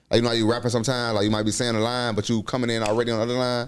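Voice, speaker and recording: This is a man with an American accent. He talks at a fairly low pitch. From Miami, Florida (Miami Gardens). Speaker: rapper. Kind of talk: casual chat. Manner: halting, many fillers.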